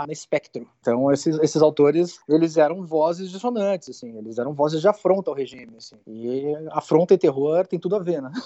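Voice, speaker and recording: A man's plain, everyday voice, fairly high-pitched, at a fairly quick pace, with ordinary pitch variation, hardly any pauses and big swings in loudness. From southern Brazil (Rio Grande do Sul). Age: 40s. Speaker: film director. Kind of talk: interview.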